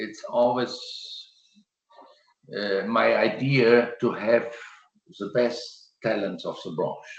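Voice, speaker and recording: Very slow delivery with big swings in loudness and long, frequent pauses. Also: man. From Germany. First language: German. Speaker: landscape gardener. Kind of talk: presentation and Q&A answer. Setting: video call. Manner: halting.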